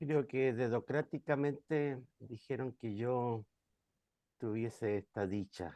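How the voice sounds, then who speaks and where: A soft-spoken man talks at a very slow pace in a dark, mellow tone. The sound is dry and close with no echo, over a quiet background. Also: medium pitch for a man, ordinary pitch variation. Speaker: pastor. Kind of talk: online class presentation.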